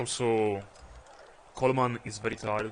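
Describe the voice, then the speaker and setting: The man's fairly low voice has a monotone, flat intonation. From Italy. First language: Italian. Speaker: video game streamer. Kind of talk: live gameplay commentary. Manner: hesitant, frequent uh fillers.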